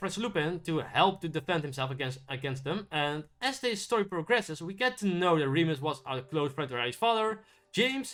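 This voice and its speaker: A man's raised, projected voice at a fairly quick pace, with very wide pitch swings and music in the background. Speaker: YouTube film reviewer. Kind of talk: casual video review monologue. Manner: halting, many repeats and restarts; mumbling.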